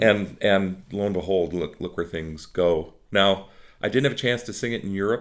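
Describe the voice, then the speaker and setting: This man's voice sits fairly low, with ordinary pitch variation and a moderate pace. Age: 60s. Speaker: opera singer. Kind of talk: interview. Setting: office. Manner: halting.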